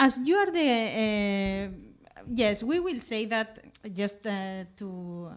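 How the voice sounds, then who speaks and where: The speech comes at a very slow pace with lively intonation. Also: woman, fairly high pitch for a woman. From Catalonia, Spain (Lleida). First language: Catalan or Spanish. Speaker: event host and interviewer. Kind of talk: live public conversation at a book presentation. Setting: room with live audience, livestreamed. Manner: halting, hesitant with many fillers.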